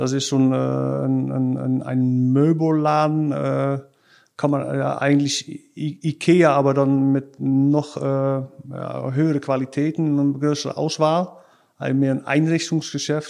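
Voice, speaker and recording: Against a quiet background, a man is speaking. His pace is very slow. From Netherlands, Rotterdam area. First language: Dutch (speaking German). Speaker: sales engineer. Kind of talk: casual interview. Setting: office. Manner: halting.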